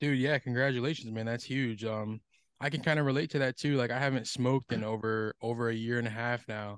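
A man with a plain, everyday voice speaks at a medium pitch and a fairly quick pace, his intonation fairly even, in a dry, close sound with no echo and a quiet background. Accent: American. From US Northeast, Connecticut. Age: 20s. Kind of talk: casual interview chat.

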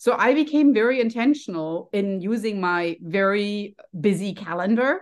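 With a German accent, a woman talks at a medium pitch. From Germany. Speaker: health and happiness coach. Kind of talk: casual interview.

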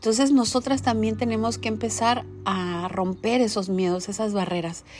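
At a fairly slow pace, a woman speaks in a plain, everyday voice with a medium pitch. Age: 40s. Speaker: podcaster and direct-sales entrepreneur. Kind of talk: personal monologue. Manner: conversational.

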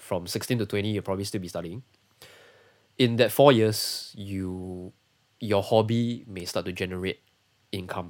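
In a Singaporean accent, a man with a fairly low pitch speaks at a moderate pace with fairly even intonation, big swings in loudness and long, frequent pauses. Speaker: sound engineer. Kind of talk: casual interview. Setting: livestream.

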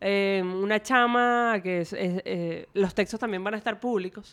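Speaking in a plain, everyday voice, a woman talks at a fairly slow pace and medium pitch with fairly even intonation. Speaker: youth researcher. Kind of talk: casual interview chat.

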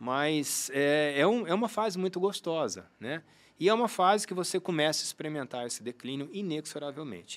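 This man has a normal speaking voice with a fairly high pitch. His intonation is lively and his pace moderate. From Brazil, Uberlândia (Minas Gerais). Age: 50s. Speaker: sports medicine doctor and triathlete. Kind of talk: interview conversation. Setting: studio.

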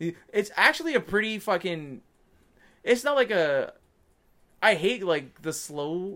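A man talks at a fairly slow pace in a high, bright, sharp voice, raised and projected. His pitch swings very widely. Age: 20s. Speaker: podcast co-host. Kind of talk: casual chat. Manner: animated.

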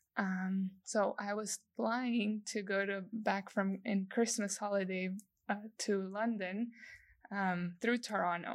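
On a very clean recording with a silent background, a woman with a Spanish accent speaks very slowly with monotone, flat intonation. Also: medium pitch for a woman. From El Salvador. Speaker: industrial designer. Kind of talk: interview.

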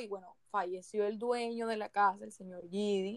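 A woman with an unremarkable speaking voice, fairly high in pitch and moderate in pace. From Barranquilla, Colombian Caribbean coast. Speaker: podcast co-host. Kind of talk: casual chat with storytelling.

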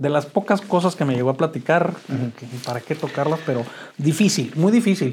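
The speaker is a man with lively intonation. He goes at a moderate pace. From Mexico, Chihuahua. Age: 50s. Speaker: author sharing recovery story. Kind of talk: interview testimony. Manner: halting, many repetitions.

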